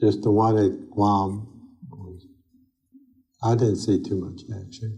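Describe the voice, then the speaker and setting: A man speaks very slowly in a fairly low, dark and mellow voice with some breathiness, flat monotone intonation, and long, frequent pauses. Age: 80s+. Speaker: Marine Corps veteran of World War II. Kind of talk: interview answer. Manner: conversational, hesitant.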